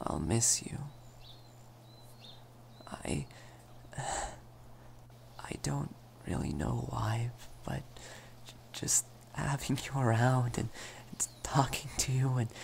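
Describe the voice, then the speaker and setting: Whispering and soft-spoken, this voice moves at a very slow pace with long, frequent pauses over light background noise. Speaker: voice actor for romantic character. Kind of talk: role-play monologue. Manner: soft, shy, stammering near-whisper.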